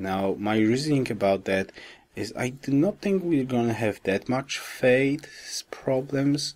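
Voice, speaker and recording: A man speaks quietly with lively intonation. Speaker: gaming commentator. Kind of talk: gameplay commentary. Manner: quiet, low voice.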